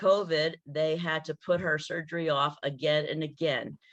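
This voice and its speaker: The voice is monotone and flat, at a moderate pace. The background is quiet. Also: woman. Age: 70s. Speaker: retired teacher and health product distributor. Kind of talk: testimony. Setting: call.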